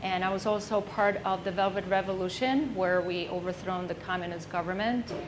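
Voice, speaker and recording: With a Czech accent, a woman speaks at medium pitch and a fairly quick pace with hardly any pauses and fairly even intonation, over noticeable background noise. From Czech Republic. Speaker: entrepreneur. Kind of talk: business presentation.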